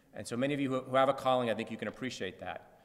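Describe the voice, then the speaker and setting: The speaker is a man with a medium-pitched voice. Noticeable background noise can be heard. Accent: American. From Massachusetts, Lawrence. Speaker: anti-gambling campaigner. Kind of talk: public talk. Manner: fast; animated.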